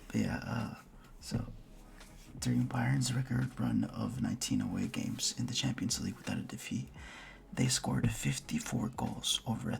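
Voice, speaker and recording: The voice is quiet and moves at a moderate pace. Background noise is noticeable. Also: man. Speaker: football fan youtuber. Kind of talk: casual video commentary.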